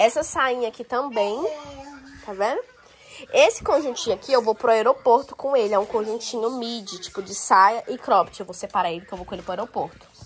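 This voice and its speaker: There is noticeable background noise as a woman speaks. Her pitch is fairly high, with ordinary pitch variation. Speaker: lifestyle vlogger. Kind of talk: casual vlog talk to camera. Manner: animated.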